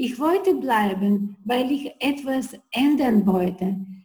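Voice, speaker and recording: Speaking very slowly, a woman has a dark, mellow tone and lively intonation. She talks with a non-native accent. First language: not German (speaking German). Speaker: entrepreneur. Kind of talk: interview. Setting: video call.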